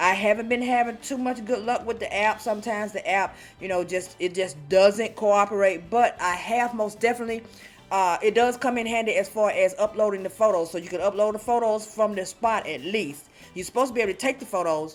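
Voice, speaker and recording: A woman with a fairly high pitch speaks at a fairly quick pace with ordinary pitch variation. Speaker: field inspector and YouTuber. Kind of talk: casual vlog talk. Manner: fast.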